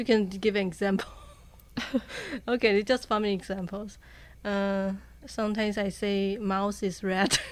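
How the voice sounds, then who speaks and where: Pausing long and often, a woman speaks in a Chinese accent. Her medium pitch stays monotone and flat. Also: moderate pace. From Taiwan. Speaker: university student. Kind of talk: casual chat.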